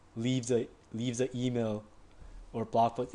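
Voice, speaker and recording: This is a man speaking with a non-native accent. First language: not English. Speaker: online marketing tutor. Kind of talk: tutorial. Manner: casual, filler-heavy with frequent 'like'; halting with repetitions.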